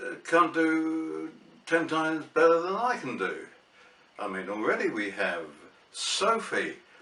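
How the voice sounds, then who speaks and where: Speaking with a southern English accent, a man moves at a fairly slow pace with long, frequent pauses, while audible room echo and noticeable background noise surround him. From England, Barnet, Hertfordshire. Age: 70s. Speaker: vlogger. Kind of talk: casual vlog monologue. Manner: hesitant, with fillers.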